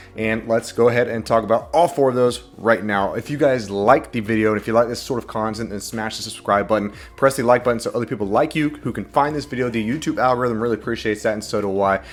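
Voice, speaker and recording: Hardly pausing, a man speaks at a very fast pace against noticeable background noise. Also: medium pitch for a man, ordinary pitch variation. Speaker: NFT and crypto YouTuber. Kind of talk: casual video commentary. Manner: animated.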